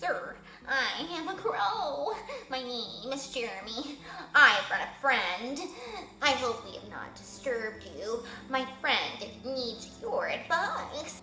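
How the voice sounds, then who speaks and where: A woman speaks very slowly in a high-pitched, put-on character voice, with slight echo and clear background noise. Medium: read story. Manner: polite, deferential.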